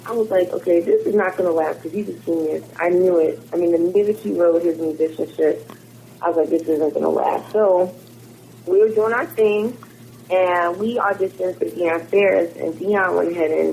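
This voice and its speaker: A woman with an American accent at a moderate pace. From Philadelphia suburbs, Pennsylvania. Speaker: musician. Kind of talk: interview.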